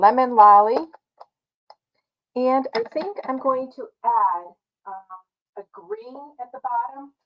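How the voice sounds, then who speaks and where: Pausing long and often, a woman speaks very slowly with lively intonation. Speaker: card-making demonstrator. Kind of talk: live craft tutorial. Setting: home craft studio, livestream. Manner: casual, with many fillers.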